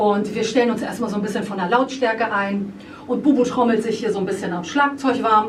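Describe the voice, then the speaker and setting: Over noticeable background noise and audible room echo, a woman speaks with a fairly high pitch and fairly even intonation. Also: fairly quick pace. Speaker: rock band singer. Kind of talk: interview. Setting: band rehearsal room. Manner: many fillers (äh, ähm).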